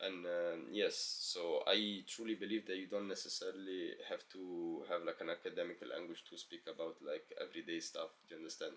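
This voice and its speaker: With hardly any pauses, a man talks at a moderate pace. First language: not English. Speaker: self-help vlogger. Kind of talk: motivational monologue. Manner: casual, filler-heavy.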